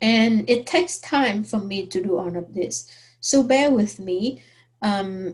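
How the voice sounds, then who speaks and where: A woman with a non-native accent at a very slow pace, somewhat breathy, with lively intonation. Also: medium pitch for a woman. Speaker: math teacher. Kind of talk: online course introduction. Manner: hesitant, many fillers.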